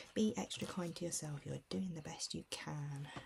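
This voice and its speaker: A woman speaks softly. Her tone is gentle. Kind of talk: ASMR self-care picture book walkthrough. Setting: casual talk to camera, cosy relaxation. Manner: soft-spoken, gentle, calming.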